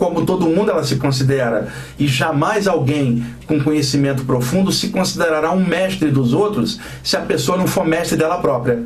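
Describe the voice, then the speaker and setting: A man talks at a moderate pace with fairly high pitch, ordinary pitch variation and very even loudness. Noticeable background noise and audible room echo are present. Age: 50s. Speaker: radio host, spiritual teacher. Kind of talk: radio talk on spirituality. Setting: radio studio. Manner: animated.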